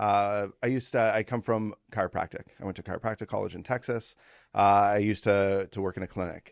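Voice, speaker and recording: In a Canadian accent, a man talks at a fairly quick pace with a fairly low pitch and monotone, flat intonation, the sound dry and close with no echo against a quiet background. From Ontario, Canada. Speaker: podcast host, former chiropractor. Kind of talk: casual interview chat.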